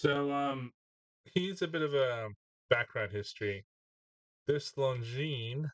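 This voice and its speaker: Dry and close with no echo, a man's somewhat breathy voice shows ordinary pitch variation. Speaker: gadget reviewer. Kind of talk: casual product review. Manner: hesitant with many fillers.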